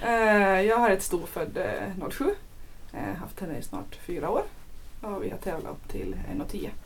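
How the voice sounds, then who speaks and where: Loudness swings widely as a woman talks at a fairly slow pace. Audible room echo surrounds her voice. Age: 20s. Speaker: show jumping rider. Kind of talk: casual chat.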